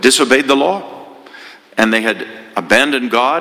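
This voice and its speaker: There is noticeable background noise behind a man speaking at a medium pitch. His pace is moderate and his pitch varies in an ordinary way. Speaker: priest giving homily. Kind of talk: homily, sermon. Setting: church. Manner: storytelling, earnest, conversational.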